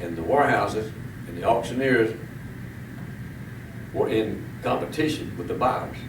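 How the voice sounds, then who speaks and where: The voice moves at a moderate pace with ordinary pitch variation, and noticeable background noise can be heard. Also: man. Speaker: tobacco auctioneer. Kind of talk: interview answer. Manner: casual, conversational.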